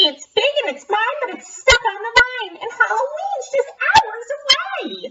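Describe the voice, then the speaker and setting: In a put-on character voice, a female-sounding speaker squeaks at an extremely high pitch and a fairly slow pace. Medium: read story. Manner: grumpy, huffy.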